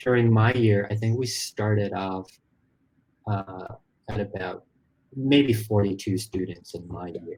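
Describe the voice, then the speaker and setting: Somewhat breathy speech at a fairly slow pace with fairly even intonation. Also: man. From Malaysia. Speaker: story artist in animation. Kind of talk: interview conversation.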